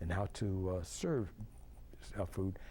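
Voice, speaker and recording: Dark and mellow in tone, the man's speech also comes across as somewhat breathy. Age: 70s. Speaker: club waiter doing tableside service. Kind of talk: interview. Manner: halting, many restarts and fillers.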